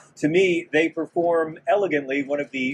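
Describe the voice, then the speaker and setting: A man speaks at a moderate pace against light background noise. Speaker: comedian, radio host. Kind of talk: stand-up style event speech. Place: street. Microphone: lapel.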